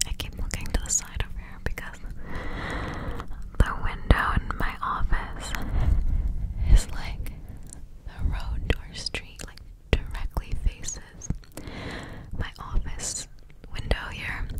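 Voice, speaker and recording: A soft-spoken woman whispers very slowly, pausing long and often, over loud background noise. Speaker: ASMR creator. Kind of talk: soft ASMR chat. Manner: soft close-mic ASMR whisper. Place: office. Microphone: studio mic.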